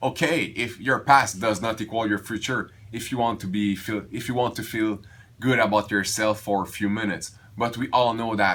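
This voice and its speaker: A man's medium-pitched voice, bright and sharp in tone, at a fairly slow pace with ordinary pitch variation, on a very clean recording with a silent background. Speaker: weight loss vlogger. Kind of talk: casual vlog monologue. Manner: halting, many restarts.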